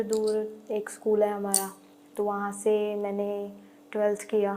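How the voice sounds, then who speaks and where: A woman is talking. Her pitch is fairly high. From Punjab, India. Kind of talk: interview answer. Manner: casual, conversational.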